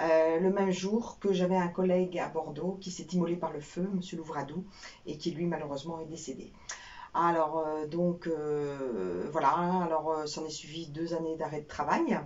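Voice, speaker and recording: With audible room echo and noticeable background noise, a woman speaks fairly slowly at a fairly low pitch with fairly even intonation. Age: 60s. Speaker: former telecom employee, burnout survivor. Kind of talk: personal testimony interview. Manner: hesitant, many fillers.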